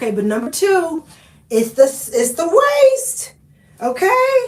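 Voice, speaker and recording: Her Southern US accent comes with very wide pitch swings as the woman speaks. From Oklahoma. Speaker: lifestyle vlogger. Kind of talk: live stream chat. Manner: animated.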